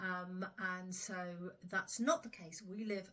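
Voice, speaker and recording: In a southern English accent, a woman speaks at a moderate pace with a bright, sharp tone and fairly even intonation. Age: 60s. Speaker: smallholder. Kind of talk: casual vlog talk. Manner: hesitant, many fillers.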